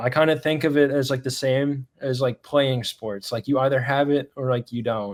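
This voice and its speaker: Here is a man with an unremarkable speaking voice at a medium pitch and moderate pace. His intonation is fairly even, and the sound is dry and close with no echo. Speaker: sports broadcaster. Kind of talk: casual chat.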